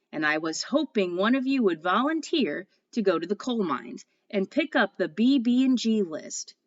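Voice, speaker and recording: A female-sounding voice puts on a booming character voice at a medium pitch and a moderate pace. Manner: jolly, announcing.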